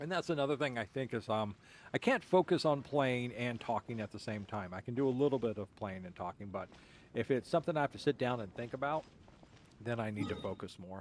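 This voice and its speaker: At a fairly quick pace, a man of medium pitch speaks on a very clean recording with a silent background. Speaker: gaming streamer. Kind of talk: casual chat. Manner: dry deadpan delivery.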